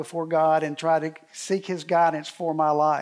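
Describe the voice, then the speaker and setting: A man speaks at a high pitch and a moderate pace. The background is quiet. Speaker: speaker. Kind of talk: sermon. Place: hall.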